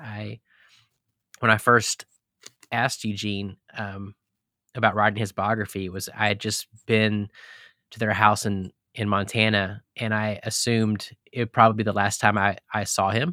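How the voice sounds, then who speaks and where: With an American accent, a man speaks at a moderate pace in a fairly low, bright, sharp voice with flat, monotone intonation and long, frequent pauses, on a very clean, silent, dry and close recording with no echo. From Texas. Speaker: pastor and biographer. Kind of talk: casual interview. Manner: halting, many fillers.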